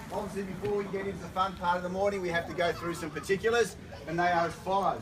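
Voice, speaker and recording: Noticeable background noise sits behind a man with a high pitch. He talks at a very fast pace in a monotone, flat intonation. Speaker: auctioneer. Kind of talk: reading auction conditions to a crowd.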